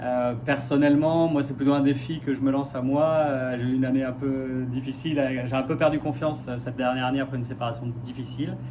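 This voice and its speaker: With hardly any pauses, a man at a medium pitch speaks fast-ish in a monotone, flat intonation, with audible room echo and noticeable background noise. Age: 40s. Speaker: radiology technician, reality show applicant. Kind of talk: casting video self-presentation. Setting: self-filmed video. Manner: hesitant, many fillers.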